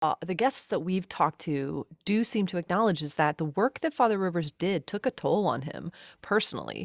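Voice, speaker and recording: A woman's fairly low, normal speaking voice with lively intonation, on a very clean recording with a silent background and a dry, close sound with no echo. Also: moderate pace. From US Midwest, Cincinnati area. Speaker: liturgist and musician, podcast co-host. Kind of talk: casual interview.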